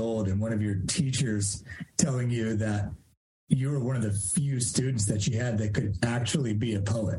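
Somewhat breathy delivery at a moderate pace, with ordinary pitch variation. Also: man. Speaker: podcast host and life coach. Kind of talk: casual interview.

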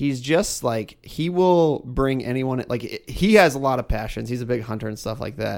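Using a plain, everyday voice, a man speaks at a medium pitch and moderate pace with lively intonation. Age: 30s. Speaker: guest sharing family reconciliation story. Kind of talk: casual chat.

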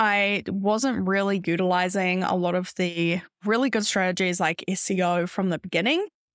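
A woman with a New Zealand accent speaks at a moderate pace and medium pitch, with hardly any pauses, fairly even intonation and very even loudness. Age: 20s. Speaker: podcast host and business coach. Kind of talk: casual solo monologue.

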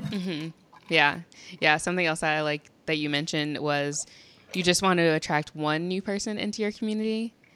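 This woman has a bright, sharp tone, a fairly low pitch, ordinary pitch variation and a fairly quick pace. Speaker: podcast host. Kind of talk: casual interview chat. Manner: fast talker.

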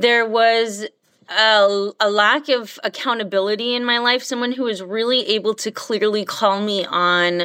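A woman has an unremarkable speaking voice with a fairly high pitch. The recording is very clean, with a silent background. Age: 30s. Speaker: teacher. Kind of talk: interview.

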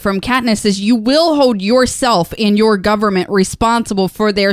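Ordinary pitch variation runs through a natural reading voice.

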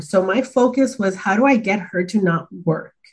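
A woman's somewhat breathy, medium-pitched voice with an American accent and ordinary pitch variation. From Los Angeles, California. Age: 30s. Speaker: corporate learning and development director. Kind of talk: casual interview.

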